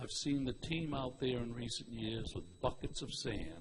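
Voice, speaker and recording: A man talks in a somewhat breathy voice. Noticeable background noise runs behind him. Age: 70s. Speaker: public commenter at school committee meeting. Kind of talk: public comment at meeting. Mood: earnest, mildly critical. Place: hall.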